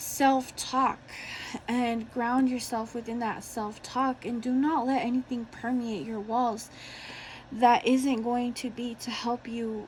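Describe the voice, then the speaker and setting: The voice is shaky and flat in a monotone, moving at a very slow pace. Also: woman. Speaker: tarot reader. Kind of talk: tarot reading to camera.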